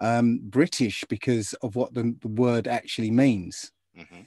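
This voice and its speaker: A man speaks at a fairly slow pace, the sound dry with no echo and the background quiet. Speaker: remote guest. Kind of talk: interview answer. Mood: animated, amused. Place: home room. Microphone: video call.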